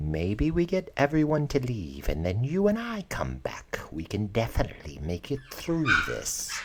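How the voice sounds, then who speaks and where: Whispering in a put-on character voice with hardly any pauses, the speaker is heard over clear background noise. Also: moderate pace. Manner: conspiratorial.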